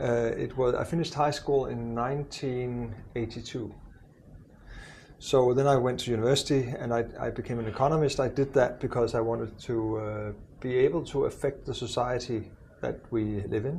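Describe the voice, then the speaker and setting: A man talks at a moderate pace and a medium pitch. His voice is somewhat breathy, with fairly even intonation. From Denmark. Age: 60s. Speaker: university president. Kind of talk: podcast interview. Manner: hesitant, many fillers.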